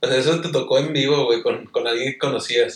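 A man speaking at a very fast pace. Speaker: YouTuber and podcast host. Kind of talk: casual chat.

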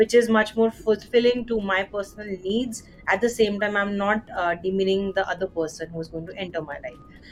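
With music in the background, the speech moves at a moderate pace with hardly any pauses, ordinary pitch variation and big swings in loudness. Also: woman, medium pitch for a woman. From India. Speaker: podcast host. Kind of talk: interview conversation.

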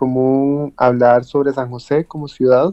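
Delivered at a fairly slow pace, this is an unremarkable speaking voice. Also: man. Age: 20s. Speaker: architect and author. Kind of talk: interview.

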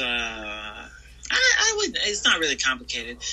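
A man in an American accent at a moderate pace, with noticeable background noise. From US South (Georgia/Florida, military family). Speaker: pro wrestler. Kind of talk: interview. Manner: halting, many fillers.

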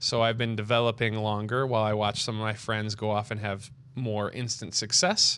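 In a Michigan accent, a man with a medium-pitched voice talks at a moderate pace in a flat monotone, against a quiet background. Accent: Michigan American. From Rochester, Michigan, near Detroit. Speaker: opera singer. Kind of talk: casual chat. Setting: home bar.

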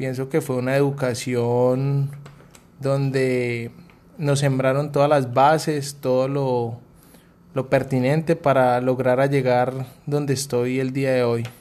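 Speaking at a very slow pace, a man holds a medium pitch in a monotone, flat delivery. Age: 30s. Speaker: air force non-commissioned officer. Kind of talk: interview answers. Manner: formal.

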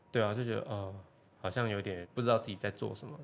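Talking very fast, a man uses a fairly low pitch with ordinary pitch variation. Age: 20s. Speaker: semiconductor engineer. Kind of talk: casual chat.

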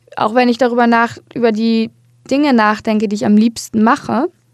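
An ordinary speaking voice from a woman, fairly high in pitch, with fairly even intonation. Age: 20s. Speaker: podcast host. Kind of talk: solo monologue.

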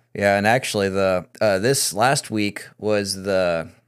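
A man with an American accent has a normal speaking voice, fairly low in pitch with fairly even intonation. The recording is very clean, with a silent background. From US Midwest. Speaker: podcast host. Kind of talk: casual political discussion.

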